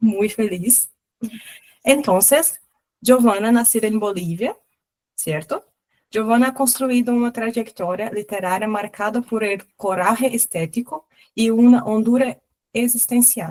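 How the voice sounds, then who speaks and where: A woman speaks at a fairly slow pace in a Portuguese accent, her pitch fairly high. She leaves long, frequent pauses. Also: ordinary pitch variation. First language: Portuguese (speaking Spanish). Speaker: book club host. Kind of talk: reading aloud.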